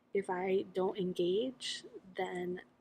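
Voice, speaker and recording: A woman speaks in a somewhat breathy voice with an American accent. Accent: American accent, noticeable to locals. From United States. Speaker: vlogger. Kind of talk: casual vlog monologue. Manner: candid, conversational.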